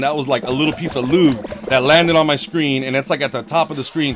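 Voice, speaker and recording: Over noticeable background noise, a man with a fairly high pitch talks very fast in an animated tone with ordinary pitch variation. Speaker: gaming livestreamer. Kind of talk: casual livestream chat. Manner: slurred speech.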